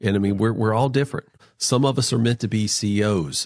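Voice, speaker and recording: With an American accent and ordinary pitch variation, a man is heard in a very clean recording with a silent background and a dry, close sound with no echo. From North Carolina, US South. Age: 40s. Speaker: financial advisor and podcast guest. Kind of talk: podcast interview. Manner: halting, many restarts.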